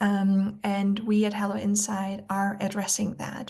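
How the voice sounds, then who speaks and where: A woman with an Austrian accent speaks at medium pitch, somewhat breathy, against a quiet background. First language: German. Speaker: nutrition expert. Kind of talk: webinar presentation. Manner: many filler words (um, like).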